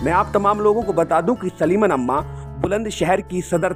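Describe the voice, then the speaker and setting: A man speaks with music in the background. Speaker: news video narrator. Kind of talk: news story narration with poetic couplets.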